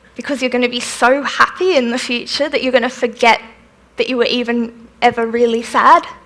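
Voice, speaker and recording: A woman's high-pitched voice with fairly even intonation over noticeable background noise. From Australia (Melbourne). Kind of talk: festival talk with audience Q&A.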